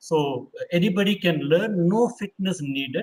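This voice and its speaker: Speaking with ordinary pitch variation, a man uses a high voice. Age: 60s. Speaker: tai chi teacher and doctor. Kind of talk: interview. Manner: halting.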